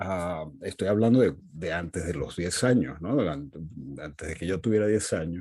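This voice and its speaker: At a moderate pace, a man's very deep, low pitch comes through with a dark, mellow tone and ordinary pitch variation. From Venezuela (Caracas), Portuguese-speaking family. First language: Portuguese (speaking Spanish). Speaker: literary critic and professor. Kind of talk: interview conversation.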